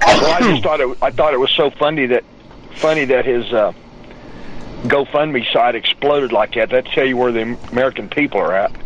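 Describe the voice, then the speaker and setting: With noticeable background noise behind him, a man of medium pitch talks at a moderate pace, his loudness very even and his pitch variation ordinary. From West Texas (Odessa). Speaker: political talk show guest. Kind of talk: casual chat.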